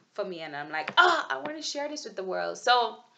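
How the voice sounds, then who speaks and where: In a Jamaican accent, a woman talks at a medium pitch with very wide pitch swings. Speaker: vlogger. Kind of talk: video journal monologue. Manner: halting, with many fillers and restarts.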